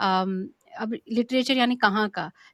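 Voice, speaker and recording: A woman's fairly high voice with ordinary pitch variation, in a dry, close sound with no echo. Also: very clean recording, silent background. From India. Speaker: podcast co-host. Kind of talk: interview introduction. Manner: halting, many fillers.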